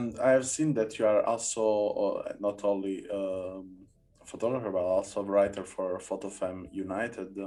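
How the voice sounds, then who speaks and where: At a moderate pace, a man with an Italian accent speaks in a fairly low pitch with a dark, mellow tone. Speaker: podcast host. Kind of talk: podcast interview. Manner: halting, many hesitations.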